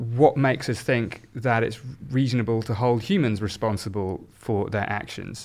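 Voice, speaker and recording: A man in a southern English accent, medium in pitch, at a moderate pace with ordinary pitch variation. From southern England, South Oxfordshire. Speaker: neuroscience professor. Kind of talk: discussion.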